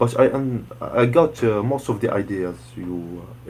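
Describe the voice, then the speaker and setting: Vocal fry runs through the voice of a man speaking with a Moroccan accent. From Morocco. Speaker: student. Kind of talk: online group lesson. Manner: halting, many hesitations.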